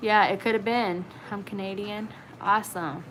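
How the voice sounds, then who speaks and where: A woman with an American accent speaks at a moderate pace, her medium pitch carried by fairly even intonation. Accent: southern country. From Virginia, Blue Ridge region. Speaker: YouTuber. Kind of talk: livestream chat. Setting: livestream. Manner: casual, hesitant with fillers.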